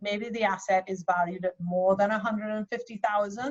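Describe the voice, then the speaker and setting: A woman speaks at a fairly quick pace with fairly even intonation, a medium pitch and a somewhat breathy quality. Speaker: accountant. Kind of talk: workshop presentation. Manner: fast.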